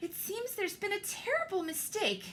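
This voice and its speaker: This put-on character voice has ordinary pitch variation. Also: woman. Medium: read story.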